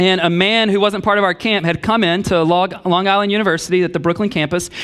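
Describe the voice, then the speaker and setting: Speaking at a very fast pace, a man keeps a high pitch, fairly even intonation and very even loudness. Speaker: pastor. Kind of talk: sermon.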